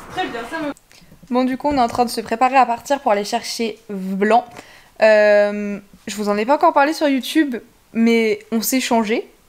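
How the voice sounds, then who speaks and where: At a moderate pace with ordinary pitch variation, the speech is broken by long, frequent pauses. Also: woman. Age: 20s. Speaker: pony vlogger; horse vlogger. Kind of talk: travel vlog. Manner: casual, hesitant with many fillers. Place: home room. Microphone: phone near.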